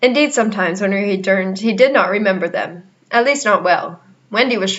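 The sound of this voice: This is an unforced reading voice. It reads without strain.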